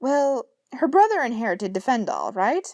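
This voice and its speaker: A woman in a put-on character voice, high-pitched with very wide pitch swings, on a very clean recording with a silent background. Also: moderate pace. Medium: read story. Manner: grandly theatrical, old-fashioned heroic speech.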